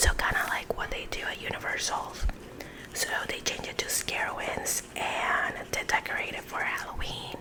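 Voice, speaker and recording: A woman is whispering, and background noise is noticeable. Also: moderate pace. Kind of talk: ASMR casual chat while coloring. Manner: whispered.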